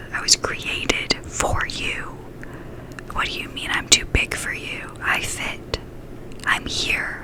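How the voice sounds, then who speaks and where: A woman whispers in a soothing tone at a very slow pace. Noticeable background noise sits behind her. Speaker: ASMR creator. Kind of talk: ASMR ear whispering with positive affirmations. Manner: whispered, slow, soothing.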